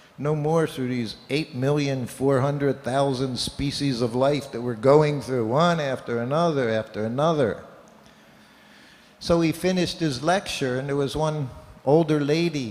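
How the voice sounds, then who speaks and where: A man talks at a moderate pace with a fairly high pitch. Noticeable background noise sits behind him. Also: ordinary pitch variation. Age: 70s. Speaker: Hare Krishna monk or speaker. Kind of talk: religious talk with storytelling.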